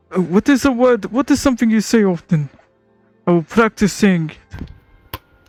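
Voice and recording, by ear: Music can be heard behind the voice. The talking goes at a fairly slow speed.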